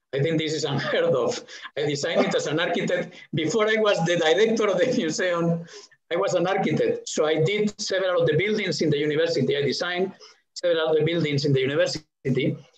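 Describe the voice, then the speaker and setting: In a Spanish accent, a man talks at a very fast pace with a high pitch, and audible room echo surrounds his voice. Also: ordinary pitch variation, very even loudness. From Spain. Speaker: museum director. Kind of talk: interview conversation. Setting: video call. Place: home room. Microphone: headset.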